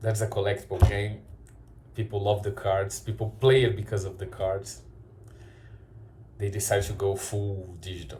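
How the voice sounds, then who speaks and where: A man's fairly low voice with vocal fry and a Brazilian Portuguese accent, fairly even intonation, a moderate pace, and long, frequent pauses. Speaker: card shop owner and YouTuber. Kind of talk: opinion commentary video. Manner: halting, frequent repetitions.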